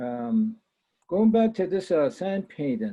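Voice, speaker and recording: Very wide pitch swings from a man with an American accent. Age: 70s. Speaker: retired academic, panelist. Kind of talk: conference presentation. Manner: halting, many fillers.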